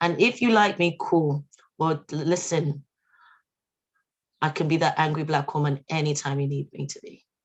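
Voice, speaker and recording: A woman with a very deep, low voice speaks with long, frequent pauses and a somewhat breathy quality. Her loudness swings widely. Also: ordinary pitch variation, moderate pace. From London and Yorkshire. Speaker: activist. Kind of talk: protest speech. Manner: impassioned.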